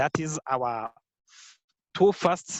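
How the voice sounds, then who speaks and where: A man speaks at a very slow pace. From Rwanda. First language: Kinyarwanda. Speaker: entrepreneur and youth organization founder. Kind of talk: podcast interview. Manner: halting, many fillers.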